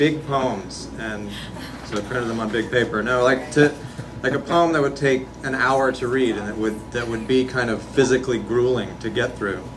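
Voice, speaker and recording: A man's voice moves at a moderate pace. Behind him, noticeable background noise is audible. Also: medium pitch for a man. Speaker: poet. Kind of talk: casual introduction to audience. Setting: live reading venue.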